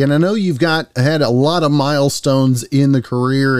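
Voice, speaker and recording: A man talks at a fairly quick pace with an unremarkable speaking voice. His pitch sits fairly high. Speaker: podcast host. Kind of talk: interview.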